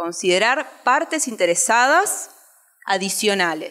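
Against a quiet background, a woman speaks at a very slow pace in a bright, sharp tone with very wide pitch swings. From Uruguay. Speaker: education researcher and teacher presenting a study; conference presenter. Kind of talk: conference presentation. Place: hall.

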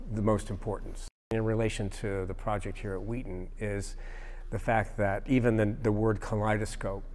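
A man speaks at a moderate pace in a monotone with flat intonation. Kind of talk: interview answer. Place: hall. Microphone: lapel.

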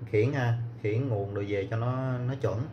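Loud background noise sits behind a man as he speaks. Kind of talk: tutorial. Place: workshop. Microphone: phone near.

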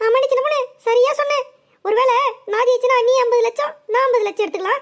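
A woman does a cartoonish character voice, extremely high-pitched, at a fairly quick pace with ordinary pitch variation.

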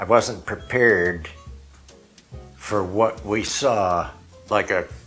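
A man's fairly low-pitched voice with fairly even intonation over faint background music. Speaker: home vlogger showing a shopping haul. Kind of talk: casual vlog chat. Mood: amused, regretful storytelling. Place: home room. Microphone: lapel.

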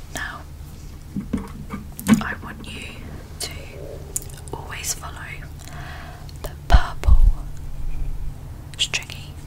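The speaker is a woman talking at a very slow pace. Loud background noise runs underneath. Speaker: ASMR creator. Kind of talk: ASMR personal attention instructions. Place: home room. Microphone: studio mic.

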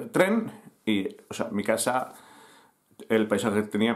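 Only quiet surrounds the man as he talks. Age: 50s. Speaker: youtuber and newspaper founder; youtuber telling his life story. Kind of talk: personal storytelling to camera. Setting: home, recording to camera. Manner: halting, many fillers. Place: home room. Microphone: webcam.

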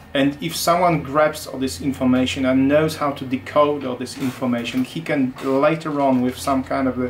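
A man's medium-pitched voice in a Polish accent, with fairly even intonation and light background noise. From Poland. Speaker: automotive security engineer. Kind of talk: technical interview. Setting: company office. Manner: halting, many repetitions. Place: workshop.

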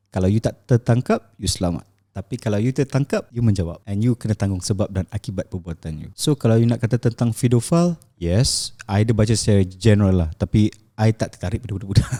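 Somewhat breathy and dark, mellow in tone, a man speaks at a fairly quick pace with fairly low pitch and ordinary pitch variation, the sound dry and close with no echo. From Malaysia, Shah Alam. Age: 30s. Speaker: event manager and property investor. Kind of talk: interview testimony. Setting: studio.

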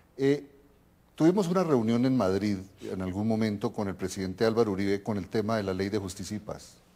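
A dark, mellow tone at a fairly quick pace with ordinary pitch variation. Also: man, fairly low pitch for a man. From Colombia. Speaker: TV host, political scientist; TV program host. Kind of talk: TV interview. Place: home room. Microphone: lapel.

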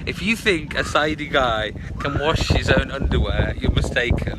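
The speaker has a British accent and a moderate pace. The sound is dry with no echo, but loud background noise comes through. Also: man. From Britain. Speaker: video blogger; live streamer. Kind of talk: live stream chat. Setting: outdoors by a river. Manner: casual, with many fillers. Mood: relaxed, cheerful. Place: waterside. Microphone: phone near.

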